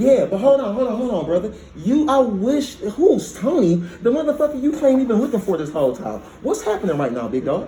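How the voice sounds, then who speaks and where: A man talks at a fairly quick pace with an extremely high pitch and very wide pitch swings. Noticeable background noise runs underneath. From United States. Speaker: complainant in police interview. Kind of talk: heated police interview. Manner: fast; animated.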